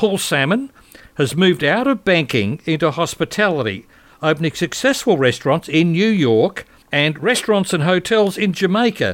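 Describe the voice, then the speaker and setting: High-pitched male voice at a moderate pace, with very wide pitch swings. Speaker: radio host. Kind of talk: radio intro and outro.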